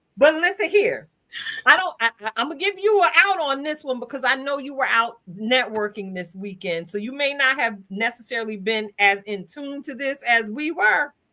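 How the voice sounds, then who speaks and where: A woman's high, raised and projected voice, with very wide pitch swings, big jumps in loudness and a moderate pace. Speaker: live stream host. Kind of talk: casual chat.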